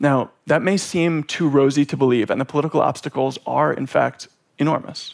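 A man talks at a fairly quick pace. He has an unremarkable speaking voice with a fairly high pitch. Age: 30s. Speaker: public speaker on climate change. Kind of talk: prepared talk.

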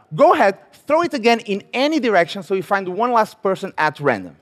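This man has an animated tone. His pitch swings very widely. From Portugal. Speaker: magician. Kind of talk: stage performance. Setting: stage with audience.

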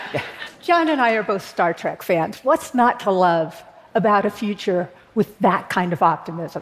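A woman with an American accent speaks at a moderate pace in a plain, everyday voice, her medium pitch carried by lively intonation. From Berkeley, California. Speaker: political activist, co-founder of an advocacy group. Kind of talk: talk to an audience.

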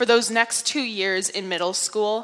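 In a northeastern US accent, a woman speaks at a moderate pace with ordinary pitch variation. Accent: American, northeastern. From upstate New York. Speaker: speaker. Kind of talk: public talk.

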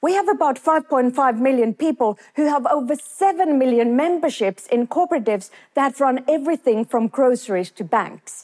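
A woman speaks with a high pitch and lively intonation at a moderate pace, with hardly any pauses. The sound is dry and close with no echo. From Finland. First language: Finnish. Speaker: business professor. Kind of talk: talk to an audience.

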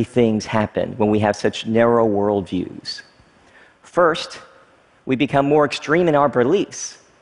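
A man with an American accent has an unremarkable speaking voice and lively intonation. His loudness stays very even, and his pace is fairly slow. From US South, small-town Kentucky. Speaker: technology entrepreneur. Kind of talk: talk to an audience.

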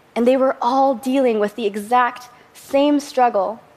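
Over noticeable background noise, a woman speaks at a fairly high pitch with fairly even intonation. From Southern California. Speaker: filmmaker and composer. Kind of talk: talk to an audience.

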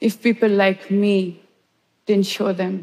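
Speaking at a very slow pace, a woman has a medium pitch and a dark, mellow tone. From India. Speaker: photojournalist. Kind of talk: talk to an audience.

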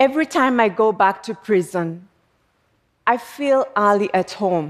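A woman's medium-pitched voice moves at a very slow pace, her intonation lively. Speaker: prison reform advocate. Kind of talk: public talk.

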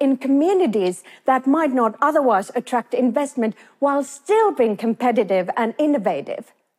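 In a Finnish accent, a woman speaks at a moderate pace with a high pitch, very wide pitch swings and a dark, mellow tone, the sound dry and close with no echo. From Finland. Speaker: business professor. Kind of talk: talk to an audience.

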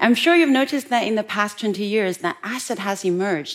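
Lively intonation marks this woman's fairly high voice. She speaks with a Chinese accent. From West China, rural. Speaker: entrepreneur and technologist. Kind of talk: talk.

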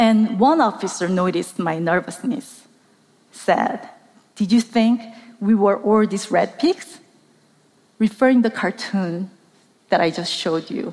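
A woman with a medium pitch and ordinary pitch variation talks at a fairly slow pace, leaving long, frequent pauses. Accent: Korean. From South Korea. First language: Korean. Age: middle-aged. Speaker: documentary journalist. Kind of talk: talk to a live audience. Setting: stage with audience.

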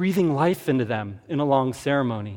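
A man with an American accent has a plain, everyday voice, fairly high in pitch, with lively intonation. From US Southwest, Tucson, Arizona. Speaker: archaeologist and museum curator. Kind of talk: public talk. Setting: stage with audience.

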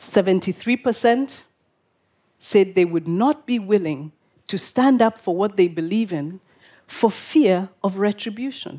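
Speaking at a very slow pace, a woman has a medium pitch, lively intonation and a dark, mellow tone. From Kenya, Nairobi. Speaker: public speaker, activist. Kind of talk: prepared talk to an audience. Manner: formal, rhetorical.

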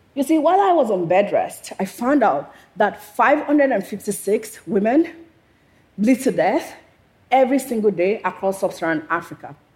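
A woman speaks at a fairly slow pace, her slightly mellow tone carrying a slightly husky edge and big pitch swings.

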